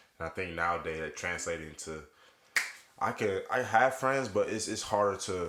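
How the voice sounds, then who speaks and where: A man with a very deep, low pitch at a moderate pace, over noticeable background noise. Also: ordinary pitch variation. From US, moved around (Long Beach, Atlanta). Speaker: podcast co-host, one of six brothers. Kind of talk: casual family chat.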